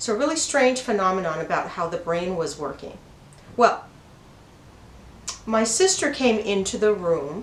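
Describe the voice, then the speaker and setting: Noticeable background noise and audible room echo around a woman whose pitch swings very widely. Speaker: spiritual channel host. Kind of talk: personal storytelling. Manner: slow, broken-up speech; slightly halting from brain injury.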